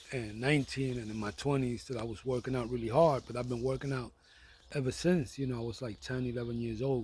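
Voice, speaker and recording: In a New York accent, a man talks at a very fast pace with a somewhat breathy, medium-pitched voice. His intonation stays fairly even. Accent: New York (Bronx) English. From New York City (the Bronx). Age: 60s. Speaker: vlogger. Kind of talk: casual monologue. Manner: hesitant, with fillers and repetitions.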